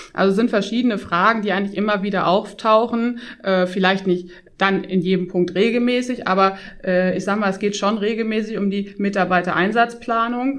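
Speaking at a fairly quick pace, a woman at medium pitch has an unremarkable speaking voice. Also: fairly even intonation. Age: 30s. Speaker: tax advisor, firm partner. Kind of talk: interview.

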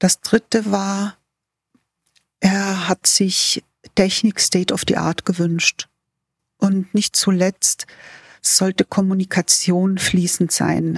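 A woman with a medium pitch speaks at a very slow pace, somewhat breathy and flat in intonation, with long, frequent pauses and a dry, close sound with no echo. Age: 60s. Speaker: facility management executive. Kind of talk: interview. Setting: remote call.

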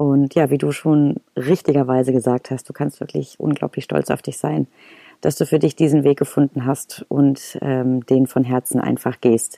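A woman speaks with a very deep, low pitch and a dark, mellow tone in a monotone, flat intonation. The sound is dry and close, with no echo. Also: moderate pace. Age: 30s. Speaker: acting student and podcast host. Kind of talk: casual podcast talk. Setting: recorded separately via laptop video call.

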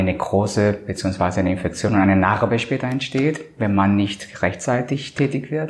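This man's pitch is fairly low. He talks at a moderate pace. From Colombia. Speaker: cosmetic surgeon. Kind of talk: interview. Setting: medical practice. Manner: hesitant, many filler sounds.

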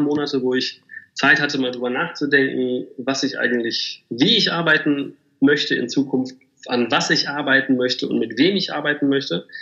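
A man talks at a fairly quick pace with a plain, everyday voice. His pitch sits fairly high. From Germany, Bielefeld. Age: 30s. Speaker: agency managing director. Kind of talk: interview.

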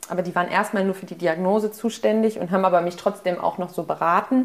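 A very fast pace with fairly even intonation. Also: woman. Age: 20s. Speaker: student. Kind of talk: personal interview.

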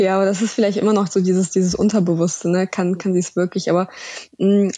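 At a very fast pace, a woman speaks with a dark, mellow tone and a medium pitch. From Russia, moved to Germany at nine. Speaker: startup founder. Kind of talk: podcast interview.

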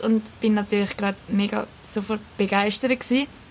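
Over noticeable background noise, a woman speaks with fairly high pitch and fairly even intonation. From Switzerland, Küsnacht near Zurich. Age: 20s. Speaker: teaching assistant. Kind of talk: casual interview.

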